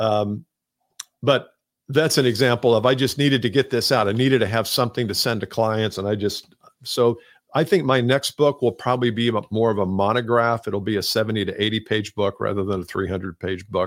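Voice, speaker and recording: This man has an ordinary speaking voice at a medium pitch, with ordinary pitch variation and a fairly quick pace. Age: 60s. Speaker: sales trainer and author. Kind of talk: interview.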